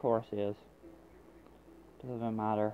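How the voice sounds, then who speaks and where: A voice with an American accent comes through over light background noise. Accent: Irish American. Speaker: mobile game streamer. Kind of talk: gameplay commentary. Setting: poor microphone. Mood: annoyed, sarcastic.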